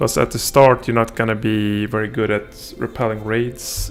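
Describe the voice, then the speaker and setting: A man talks at a moderate pace, his pitch fairly low with ordinary variation. Music plays in the background. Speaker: gaming streamer. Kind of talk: live gameplay stream commentary. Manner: hesitant, many fillers.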